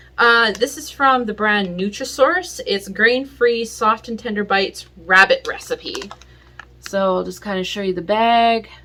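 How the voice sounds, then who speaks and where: Noticeable background noise sits behind a woman speaking at a fairly slow pace. Her fairly high pitch has ordinary pitch variation. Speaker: pet owner video creator. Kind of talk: tutorial. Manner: casual, hesitant with many fillers.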